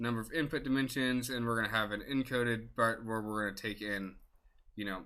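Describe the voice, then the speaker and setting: A man's medium-pitched voice, bright and sharp in tone, with fairly even intonation. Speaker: data science student presenter. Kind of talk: tutorial. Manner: fast; halting, many fillers.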